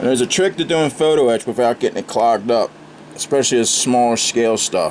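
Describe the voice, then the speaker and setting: A man speaks at a moderate pace in a medium pitch, with ordinary pitch variation and noticeable background noise. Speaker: scale model builder, channel host. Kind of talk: casual video tutorial / build update. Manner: animated, ranting.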